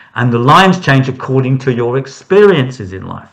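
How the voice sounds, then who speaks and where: A man talks at a moderate pace with a medium pitch. His voice makes very wide pitch swings. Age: 60s. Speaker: hand reader. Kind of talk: interview.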